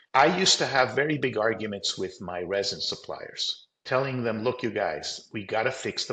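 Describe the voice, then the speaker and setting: This man has an American accent and talks at a moderate pace. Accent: sounds American. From Colombia. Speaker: company CEO. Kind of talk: interview.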